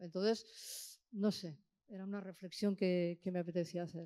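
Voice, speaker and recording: A woman talks in a dark, mellow tone. Her pace is fairly slow. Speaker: audience member. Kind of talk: question from audience. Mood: reflective, engaged. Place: hall. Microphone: handheld.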